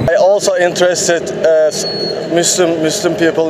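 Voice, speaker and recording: A man with a Turkish accent speaks at a moderate pace in a high voice with fairly even intonation. Noticeable background noise is present. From Turkey. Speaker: touring cyclist. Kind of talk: interview. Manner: halting.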